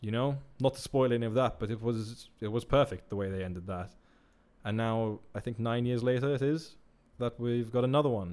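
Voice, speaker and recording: On a very clean recording with a silent background, a man with an unremarkable speaking voice talks at a fairly quick pace and a medium pitch. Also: fairly even intonation. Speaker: film review podcaster. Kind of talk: casual monologue review.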